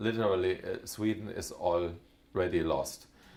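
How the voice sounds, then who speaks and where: Amid noticeable background noise, a man with a German accent talks at a fairly slow pace in a fairly low pitch. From Germany. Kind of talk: talk to an audience. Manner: halting, many fillers.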